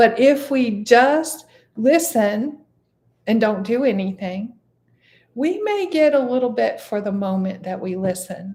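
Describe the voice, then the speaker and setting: A woman speaks at a fairly slow pace with lively intonation and a fairly high pitch. Her tone is dark and mellow. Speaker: meditation teacher. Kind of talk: meditation class teaching, casual talk. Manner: relaxed, conversational.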